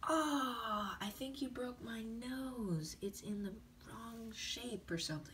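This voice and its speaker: A female-sounding, cartoonish character voice with a fairly high pitch moves at a fairly slow pace over clear background noise. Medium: puppet.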